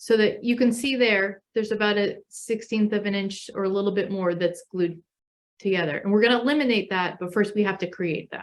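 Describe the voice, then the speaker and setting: This woman has an unremarkable speaking voice with medium pitch and ordinary pitch variation, moving at a fairly quick pace. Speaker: paper craft instructor. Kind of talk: tutorial. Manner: casual, with fillers.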